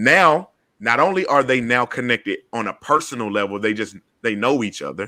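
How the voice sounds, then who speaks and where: A man with an Atlanta accent talks at a moderate pace in a medium pitch. His tone is animated, bright and sharp, with lively intonation. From US South, Atlanta. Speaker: podcast host and community organizer. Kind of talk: panel discussion. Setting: video call.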